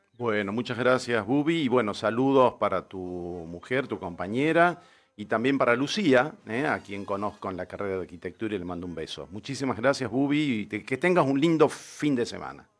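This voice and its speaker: A man with a plain, everyday voice talks at a moderate pace and medium pitch, with lively intonation and hardly any pauses. His loudness swings widely, on a very clean recording with a silent background. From Tucumán, Argentina. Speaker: radio host and architect. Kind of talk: casual radio interview. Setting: radio studio.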